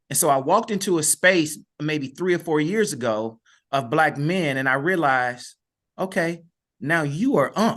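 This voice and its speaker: In a plain, everyday voice, a man speaks at fairly high pitch with an American accent. His intonation is lively, his pace moderate, and the background quiet. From US Midwest, East St. Louis, Illinois. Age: 50s. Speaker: educator and author. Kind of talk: podcast interview.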